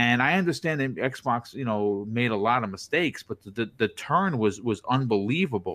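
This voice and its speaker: In a very clean recording with a silent background, a man of medium pitch speaks at a moderate pace with lively intonation and hardly any pauses. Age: 40s. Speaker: podcaster and content creator; former police officer. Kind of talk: casual interview answers.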